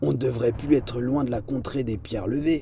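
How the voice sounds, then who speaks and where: A man growls in a put-on character voice at medium pitch and a fairly quick pace. Clear background noise runs under him. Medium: read story. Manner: growling.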